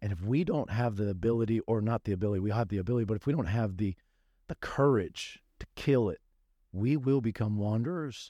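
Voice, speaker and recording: Against a quiet background, a man with an American accent talks at a fairly quick pace in a dark, mellow tone. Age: 40s. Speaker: pastor. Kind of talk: casual chat.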